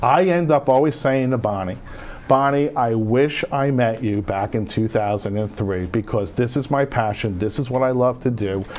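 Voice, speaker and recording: In a North Jersey accent, a man talks at a moderate pace with an animated tone, medium pitch, and ordinary pitch variation over noticeable background noise. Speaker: veterans home care benefits adviser. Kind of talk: TV interview.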